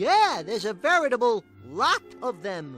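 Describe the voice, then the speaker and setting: Over faint music in the background, someone performs a put-on character voice at a fairly high pitch. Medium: video game. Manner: wisecracking, cheeky.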